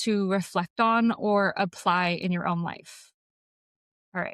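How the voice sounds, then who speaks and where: In an ordinary speaking voice, a woman talks fairly slowly with ordinary pitch variation, recorded very cleanly against a silent background with a dry, close sound and no echo. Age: 20s. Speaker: podcast co-host and health coach. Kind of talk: casual podcast conversation.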